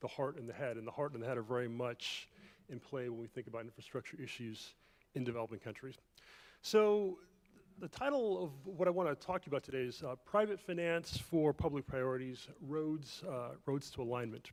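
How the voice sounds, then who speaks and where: With an American accent and a normal speaking voice, a man talks at a fairly quick pace, his medium pitch carrying lively intonation. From Jamaica, moved to US in 1978. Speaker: economist, keynote speaker. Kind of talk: keynote lecture. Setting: conference room with audience.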